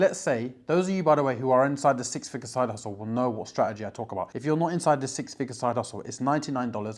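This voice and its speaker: At a very fast pace, a man with a medium pitch speaks in an animated tone. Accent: British. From UK. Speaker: online business coach. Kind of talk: casual direct-to-camera tutorial.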